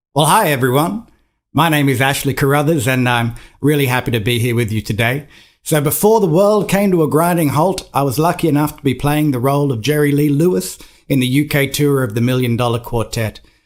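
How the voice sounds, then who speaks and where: Fairly quick and lively in intonation, a man with a fairly high pitch speaks in an Australian accent at a very even loudness. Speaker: musical theatre performer. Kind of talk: casual introduction to camera.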